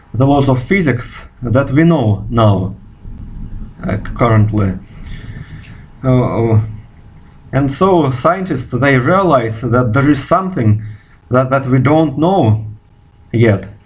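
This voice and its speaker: A man with a Russian accent speaks at a very slow pace and a medium pitch, his intonation lively and his loudness very even, with long, frequent pauses, audible room echo and noticeable background noise. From Russia, Moscow. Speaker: physicist. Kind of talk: video response monologue. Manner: halting, many fillers.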